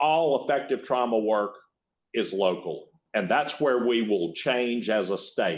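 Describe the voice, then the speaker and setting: Over a quiet background, a man talks at a fairly slow pace. He speaks with a northern Louisiana accent. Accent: rural northern Louisiana. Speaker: state agency secretary, former judge. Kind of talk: keynote talk. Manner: halting, repeats words.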